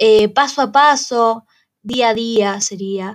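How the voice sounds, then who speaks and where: Here a woman speaks with lively intonation. Her pitch sits fairly high. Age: 20s. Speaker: student podcaster. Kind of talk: casual monologue.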